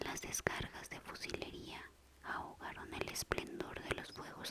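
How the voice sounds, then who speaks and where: A whisper moves at a fairly slow pace through noticeable background noise. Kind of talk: whispered ASMR audiobook reading for sleep. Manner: whispered, soft.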